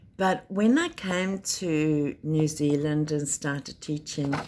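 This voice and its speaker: A woman speaks in a South African accent. Her pitch is very deep and low, and her intonation is lively. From South Africa, Cape Town. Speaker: teacher. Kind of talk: personal introduction talk.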